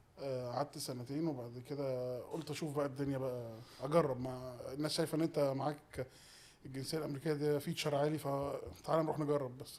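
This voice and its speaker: In a monotone, flat intonation, a man with a fairly high pitch talks at a fairly quick pace. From Egypt. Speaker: podcast guest. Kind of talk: casual interview chat.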